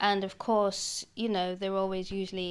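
A British accent at a moderate pace, on a very clean recording with a silent background. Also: woman. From Britain. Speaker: independent historian. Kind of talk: casual chat. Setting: museum.

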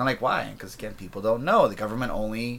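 An unremarkable speaking voice comes from a man of medium pitch. His intonation stays fairly even. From interior British Columbia, Canada. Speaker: guest. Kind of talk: casual chat.

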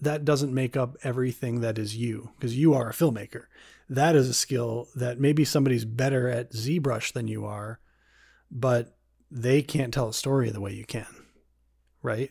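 A dark, mellow, somewhat breathy tone at a moderate pace, with fairly even intonation, on a very clean recording with a silent background. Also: man, medium pitch for a man. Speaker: podcast host and filmmaker. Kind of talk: casual interview.

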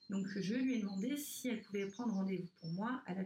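This woman's voice is somewhat breathy, at a medium pitch. She goes at a moderate pace with fairly even intonation. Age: 30s. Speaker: breast cancer survivor, prevention advocate. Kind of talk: interview about personal story. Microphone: poor sound quality.

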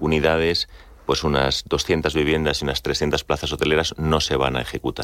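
With a very deep, low pitch, a man speaks in a monotone, flat intonation at very even loudness. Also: moderate pace. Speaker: business executive. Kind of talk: radio interview.

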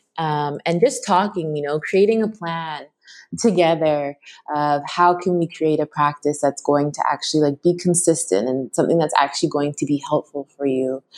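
A woman with a Canadian accent, very deep and low in pitch, with ordinary pitch variation and a moderate pace, in a dry, close sound with no echo and a quiet background. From Canada, Toronto. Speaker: mindfulness teacher. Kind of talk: interview conversation.

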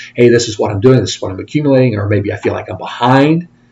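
A man's somewhat breathy speech, its pitch varying in an ordinary way. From Indiana, US Midwest. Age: 50s. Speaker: financial advisor. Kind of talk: interview.

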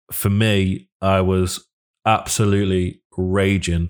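A man speaks with a very deep, low pitch in a monotone, flat intonation. The recording is very clean, with a silent background. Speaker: football fan podcast co-host. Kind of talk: casual chat.

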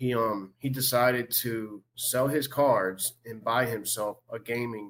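A man with a medium pitch speaks in a Southern Louisiana accent. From Louisiana, Covington. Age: 30s. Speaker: sports card collector. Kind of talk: interview.

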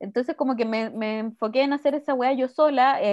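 A woman speaks with a Chilean accent against a quiet background. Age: 30s. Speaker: podcast co-host. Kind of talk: casual chat.

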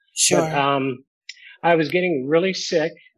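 An ordinary speaking voice, with ordinary pitch variation, goes at a moderate pace over a quiet background. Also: man. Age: 60s. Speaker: tour manager in addiction recovery. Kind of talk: testimony.

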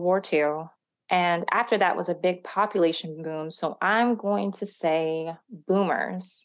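Her pitch medium with ordinary variation, a woman talks in an ordinary speaking voice. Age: 30s. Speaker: real estate research associate. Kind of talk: casual scripted podcast discussion.

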